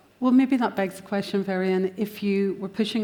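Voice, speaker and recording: A woman's medium-pitched voice with a Northern Irish accent, dark, mellow tone and fairly quick pace. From Northern Ireland. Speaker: panel moderator. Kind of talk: conference panel discussion.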